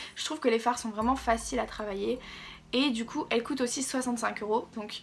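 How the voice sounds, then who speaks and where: With music in the background, the speaker talks with a French accent and fairly even intonation. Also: woman. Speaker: beauty youtuber. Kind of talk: product review vlog. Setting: home, natural window light. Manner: casual, hesitant with fillers.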